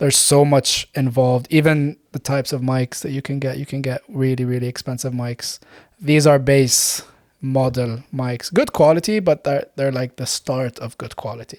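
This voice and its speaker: An unremarkable speaking voice from a man, medium in pitch, fairly even in intonation, at a moderate pace, with a dry, close sound and no echo. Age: 20s. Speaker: dentist and podcaster. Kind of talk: casual chat. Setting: studio.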